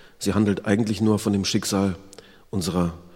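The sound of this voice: The voice is an unforced reading voice with fairly even intonation.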